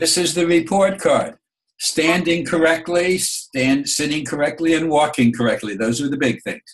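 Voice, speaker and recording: This man has a New York accent and a fairly high pitch. He talks at a moderate pace with ordinary pitch variation. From New York City (Bronx). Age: 70s. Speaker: grandfather interviewed by granddaughter. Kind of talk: oral history interview. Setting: video call. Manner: halting, with repeated words.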